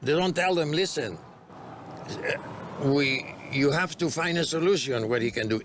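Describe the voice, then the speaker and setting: A man with a Greek accent speaks at a moderate pace in a fairly high pitch for a man, with ordinary pitch variation, very even loudness, long and frequent pauses, and noticeable background noise. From Greece. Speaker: bar and restaurant owner. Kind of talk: interview.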